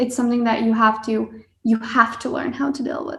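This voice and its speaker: In a Hungarian accent, a woman speaks at a moderate pace. Her pitch is high. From Hungary (Budapest). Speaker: engineering student. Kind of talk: podcast interview.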